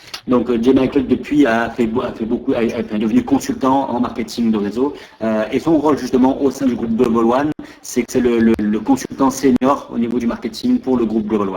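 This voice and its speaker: Over noticeable background noise, a man speaks very fast at a medium pitch with fairly even intonation. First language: French. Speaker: interviewer and interpreter. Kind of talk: live interpretation. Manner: halting.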